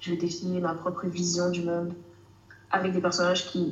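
A woman's flat, monotone delivery at a moderate pace, with audible room echo and noticeable background noise. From Canada. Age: 20s. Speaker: author and student. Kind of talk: casual interview. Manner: hesitant, many fillers.

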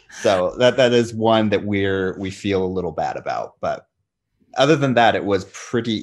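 In a normal speaking voice with an American accent, a man talks at a moderate pace with ordinary pitch variation against a quiet background. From United States. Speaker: podcaster and Arabic-speaking researcher. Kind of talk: casual interview chat.

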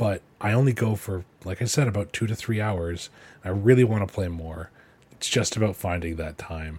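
The man's voice is somewhat breathy, at a moderate pace. The recording is very clean, with a silent background. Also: fairly low pitch for a man, ordinary pitch variation. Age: 20s. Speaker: podcast host. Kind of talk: solo podcast update. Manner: casual, laughing.

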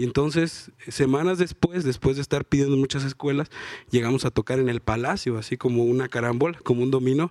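A man talks at a fairly quick pace in an ordinary speaking voice, medium in pitch, with fairly even intonation and a dry, close sound with no echo. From Juchitán, Oaxaca, Mexico. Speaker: rapper. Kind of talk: live panel interview. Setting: stage with audience at book fair.

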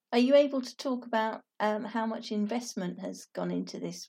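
Fairly high for a woman, her voice has a dark, mellow tone, a British accent and fairly even intonation. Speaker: podcast host. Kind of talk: interview.

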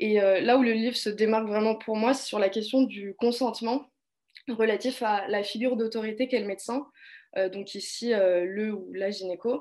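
Set against a quiet background, a woman with an ordinary speaking voice and fairly high pitch talks at a moderate pace with fairly even intonation. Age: 20s. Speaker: political science student. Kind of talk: casual discussion.

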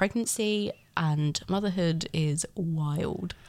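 In a very clean recording with a silent background, a woman with an English accent speaks at a fairly low pitch. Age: 30s. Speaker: first-time mother. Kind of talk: casual interview.

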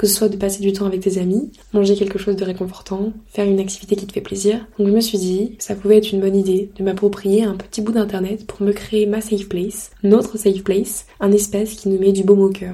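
A woman talks at a fairly quick pace with hardly any pauses and monotone, flat intonation. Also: medium pitch for a woman. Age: 20s. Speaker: podcaster. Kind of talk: casual monologue.

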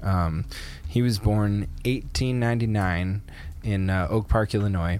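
Heard here is a man with a fairly low pitch. He has an ordinary speaking voice with ordinary pitch variation. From Canada. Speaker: podcast co-host. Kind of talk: casual chat.

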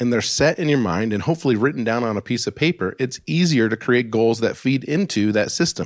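In a plain, everyday voice with an American accent, a man speaks at a medium pitch and moderate pace with lively intonation, on a very clean recording with a silent background. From Alaska. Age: 40s. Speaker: personal finance podcast host. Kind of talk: solo podcast monologue.

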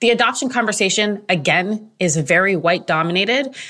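Her tone is bright and sharp, and this woman's pitch swings very widely. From Toronto, Canada. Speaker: podcast co-host, media director. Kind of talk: casual roundtable chat.

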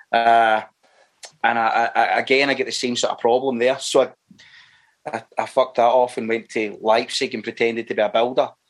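A man with a Glaswegian accent speaks at a fairly quick pace, his medium-pitched voice keeping a fairly even intonation. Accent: Glaswegian Scottish. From Scotland, Clydebank area near Glasgow. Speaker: actor. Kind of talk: casual interview chat. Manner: halting, with repeated words and fillers.

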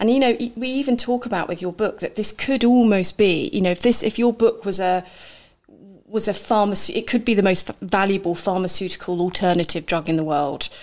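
An ordinary speaking voice, a woman at medium pitch, fairly quick, with ordinary pitch variation. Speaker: podcast host. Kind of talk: casual interview chat. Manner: chatty.

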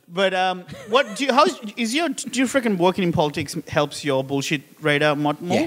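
Noticeable background noise beneath very wide swings in pitch. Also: man, high pitch for a man, fairly quick pace. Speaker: comedian. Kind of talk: casual chat.

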